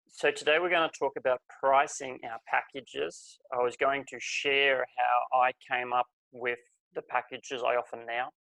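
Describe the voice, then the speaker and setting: A man speaks at a moderate pace with an Australian accent, the sound dry and close with no echo. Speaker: life coach. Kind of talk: webinar presentation.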